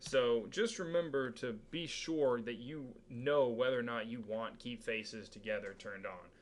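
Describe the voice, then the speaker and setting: A man's voice at medium pitch comes through noticeable background noise. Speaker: 3D modeling instructor. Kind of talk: tutorial.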